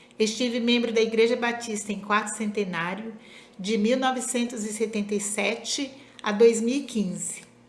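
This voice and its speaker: A woman speaks at a moderate pace, fairly high in pitch with fairly even intonation. Audible room echo and noticeable background noise fill the recording. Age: 60s. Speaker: former church member and teacher. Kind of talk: testimony.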